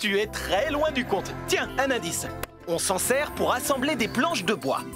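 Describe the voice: A man puts on a cartoonish character voice at an extremely high pitch, with a fairly bright tone and big pitch swings. He goes at a fairly slow pace while faint music plays in the background.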